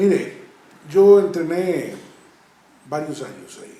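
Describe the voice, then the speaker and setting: Very slowly and in a high pitch, a man talks with fairly even intonation amid noticeable background noise and audible room echo. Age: 60s. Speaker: karate master. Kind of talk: interview, reminiscing. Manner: halting, with fillers.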